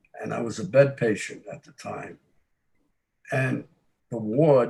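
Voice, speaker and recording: A man speaks at a fairly slow pace. His tone is dark and mellow, with vocal fry. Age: 80s. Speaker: war veteran. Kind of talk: ceremony remarks.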